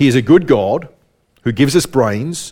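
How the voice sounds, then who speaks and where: This man speaks with an Australian accent. His pitch sits in the medium range. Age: 40s. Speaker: preacher. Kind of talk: sermon. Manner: repeats words, halting.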